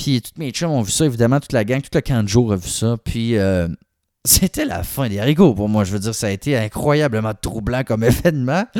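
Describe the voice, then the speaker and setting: A man with a Quebec accent speaks at medium pitch in a dark, mellow tone, on a very clean recording with a silent background and a dry, close sound with no echo. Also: lively intonation, moderate pace. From Quebec City. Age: 20s. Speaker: podcast host. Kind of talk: personal testimony. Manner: casual, colloquial.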